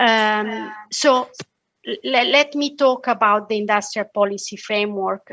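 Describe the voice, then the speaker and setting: Against a quiet background, a woman with a bright, sharp tone and fairly high pitch talks at a fairly slow pace with lively intonation. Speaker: economist, head of an international policy division. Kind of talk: presentation. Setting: video call webinar. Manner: halting, many fillers.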